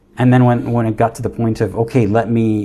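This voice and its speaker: Somewhat breathy and medium in pitch, a man talks in a dark, mellow tone. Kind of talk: casual livestream talk. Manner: stuttering, halting.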